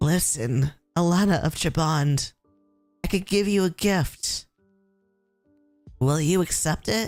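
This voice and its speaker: A hoarse, put-on character voice at a middle pitch moves at a fairly slow pace with long, frequent pauses while faint music plays in the background. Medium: virtual streamer.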